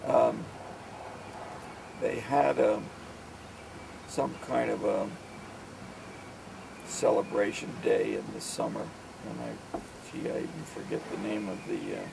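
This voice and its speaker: With long, frequent pauses, a man with an American accent speaks at a fairly slow pace, amid noticeable background noise and audible room echo. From New Jersey / New York area, US. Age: 60s. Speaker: father recounting memories. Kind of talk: oral history reminiscence. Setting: outdoors on a deck. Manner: halting, many fillers.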